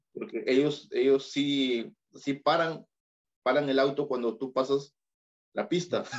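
At a very slow pace, the speaker talks in a Peruvian accent. Pitch varies in an ordinary way. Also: man, fairly high pitch for a man. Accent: Peruvian Spanish, heard as Mexican by others. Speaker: YouTuber and photographer. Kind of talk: casual interview.

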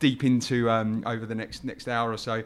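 Medium-pitched man at a moderate pace on a very clean recording with a silent background. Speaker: podcast host. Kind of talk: casual interview. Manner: halting, many fillers.

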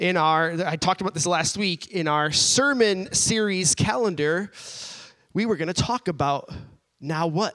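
A man with a high pitch speaks at a fairly slow pace with ordinary pitch variation. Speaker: church pastor introducing speaker. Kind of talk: introduction from the pulpit.

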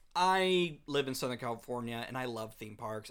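He uses an ordinary speaking voice. The man keeps a moderate pace and ordinary pitch variation. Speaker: podcast host. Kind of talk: casual chat.

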